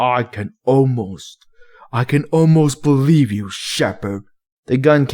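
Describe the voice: With quiet surroundings, the passage is read aloud plainly.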